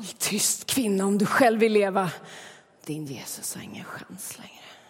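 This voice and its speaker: In a put-on character voice, a woman whispers with a hissing sound. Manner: hissed, menacing.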